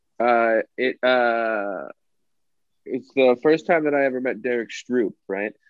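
A man's medium-pitched voice, with ordinary pitch variation, comes out at a very slow pace. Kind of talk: casual comedy podcast chat.

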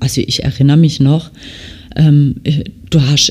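A woman speaks with a strong Baden accent. Noticeable background noise runs underneath. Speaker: nail technician and podcast host. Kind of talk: casual monologue. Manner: frequent filler hesitations.

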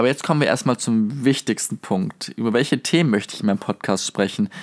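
A man at medium pitch talking at a very fast pace, with a dry, close sound, no echo and a very clean, silent background. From southwestern Germany, near Stuttgart. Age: 20s. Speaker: podcast host, university student. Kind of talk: casual podcast monologue. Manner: animated.

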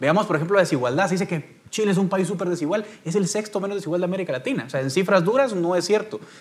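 Hardly pausing at all, a man rushes along at a very fast pace in a high voice. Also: ordinary pitch variation. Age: 30s. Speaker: political analyst, panelist. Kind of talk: panel debate.

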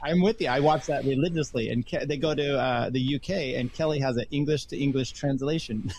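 A somewhat breathy man at a fairly quick pace. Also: fairly high pitch for a man, ordinary pitch variation. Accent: American. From US Northwest. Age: 50s. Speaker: podcaster, engineer. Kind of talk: casual chat.

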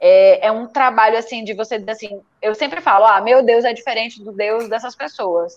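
In a plain, everyday voice, a woman speaks at a moderate pace with hardly any pauses, her fairly high pitch showing ordinary variation while her loudness swings widely. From Brazil, Recife. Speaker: writer. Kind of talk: casual chat.

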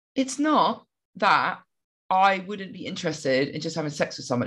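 A woman with a British accent, medium in pitch, speaking at a moderate pace. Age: 30s. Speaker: podcast co-host. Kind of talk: casual chat.

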